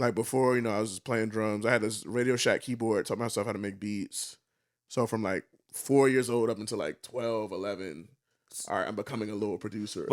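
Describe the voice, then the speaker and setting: A man's put-on character voice, raspy and medium-pitched, fairly even intonation, fairly quick pace, very clean recording with a silent background. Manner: fast talking.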